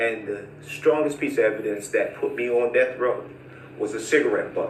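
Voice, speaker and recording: Moderate pace with audible room echo. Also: man. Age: 60s. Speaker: former prisoner. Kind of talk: testimony.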